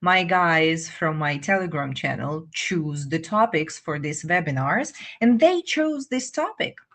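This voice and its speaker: Against a quiet background, a woman with a Russian accent and a fairly low pitch talks at a fairly slow pace with lively intonation and hardly any pauses. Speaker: English teacher. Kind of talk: live webinar. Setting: live stream.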